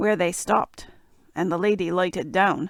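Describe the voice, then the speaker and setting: A raspy, put-on character voice sounds female. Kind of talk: bedtime fairy tale reading. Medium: read story.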